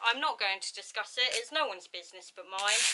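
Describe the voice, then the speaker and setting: Noticeable background noise runs under a woman with an English accent. Her medium-pitched voice has lively intonation. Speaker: youtuber. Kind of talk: casual chat. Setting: at home.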